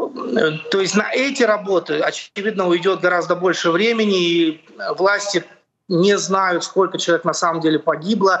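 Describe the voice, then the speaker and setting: Holding a very even loudness, a man with a high pitch speaks at a moderate pace with ordinary pitch variation. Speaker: journalist. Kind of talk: live report. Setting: at home without power, video call. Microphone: connection dropping.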